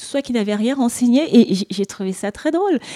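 High-pitched, a woman speaks with lively intonation at a moderate pace. The sound is dry and close, with no echo. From Cameroon. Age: 40s. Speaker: beauty store entrepreneur. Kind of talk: casual interview. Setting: hotel suite.

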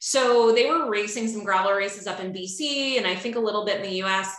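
A woman talks at a moderate pace with a slight Chicago accent. Her tone is bright and sharp. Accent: slight Chicago flat A. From Chicago, US Midwest. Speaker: outdoor industry professional at a bike company. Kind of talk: casual interview.

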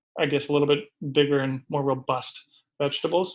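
With an Upper Midwest accent, this man talks at a fairly high pitch. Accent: Upper Midwest American. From Minnesota, Minneapolis suburbs. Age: 40s. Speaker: personal chef and gardener. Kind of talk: casual interview.

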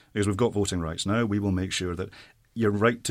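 Over a silent background in a very clean recording, a man talks very fast in a fairly low voice with fairly even intonation. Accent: Scottish. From Saudi Arabia, expatriate Scottish family. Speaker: politician. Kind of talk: panel discussion.

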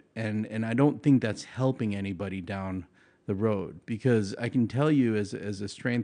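Speaking with an American accent, a man with a plain, everyday voice talks at a moderate pace, his pitch fairly low with ordinary variation. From Long Island, New York. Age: 40s. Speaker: powerlifting coach and gym owner. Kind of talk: casual interview.

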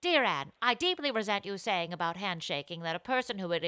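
Read aloud in a natural voice, the words carry lively intonation.

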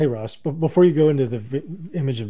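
A man speaks in a dark, mellow tone with ordinary pitch variation. His voice is somewhat breathy. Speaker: radio co-host. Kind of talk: casual chat about SEO news, radio show.

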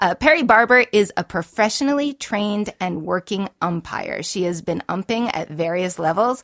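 Lively in intonation, this unremarkable speaking voice uses an American accent at a moderate pace with hardly any pauses. The sound is dry and close with no echo, on a very clean recording with a silent background. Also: woman, medium pitch for a woman. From Boston. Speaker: podcast host. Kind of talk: casual interview chat.

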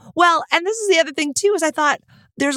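A woman with an American accent is heard in a dry, close recording with no echo. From Texas. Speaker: podcast co-host. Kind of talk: casual chat.

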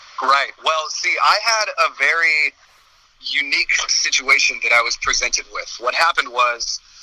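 A man with an American accent at a moderate pace, against noticeable background noise. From US West Coast, San Francisco Bay Area. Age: 20s. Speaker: metal vocalist. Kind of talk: interview.

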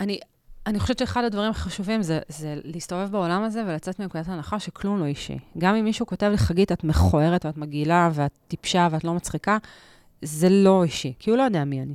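In a plain, everyday voice, a woman talks at a fairly quick pace and fairly low pitch with ordinary pitch variation, the sound dry and close with no echo on a very clean recording with a silent background. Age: 40s. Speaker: stand-up comedian and journalist. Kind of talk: casual interview chat.

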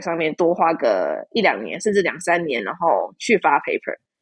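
A woman with a fairly low pitch has a normal speaking voice. She talks at a moderate pace with lively intonation. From Taiwan. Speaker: PhD student. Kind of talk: casual interview chat.

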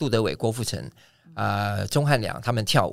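A voice with vocal fry and lively, up-and-down intonation. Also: man. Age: 60s. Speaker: aerobics instructor. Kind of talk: casual interview chat. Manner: animated.

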